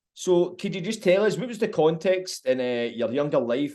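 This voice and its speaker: Lively intonation and a dark, mellow tone, with a Glaswegian accent. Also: man. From Scotland, Glasgow. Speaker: podcast host. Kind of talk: interview.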